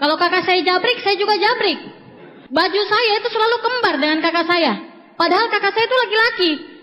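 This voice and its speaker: Over noticeable background noise, a woman speaks at an extremely high pitch with very even loudness. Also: ordinary pitch variation, fairly quick pace. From Indonesia, Papua (Jayapura). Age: 20s. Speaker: motivational speaker at network marketing seminar. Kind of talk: motivational seminar speech. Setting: stage with audience.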